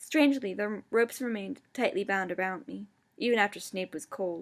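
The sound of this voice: An unforced reading voice is heard here.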